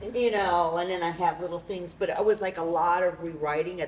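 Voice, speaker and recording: Noticeable background noise runs under this woman's fairly low voice. She talks with an American accent and fairly even intonation. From New York City. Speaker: playwright and performer. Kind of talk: post-show talkback.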